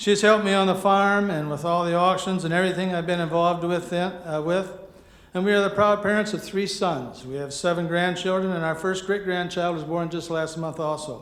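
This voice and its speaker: A man with a Midwestern American accent talks at a fairly quick pace, high in pitch, with fairly even intonation. Audible room echo and noticeable background noise surround him. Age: 70s. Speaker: farmer and auctioneer, award winner. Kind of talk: acceptance speech.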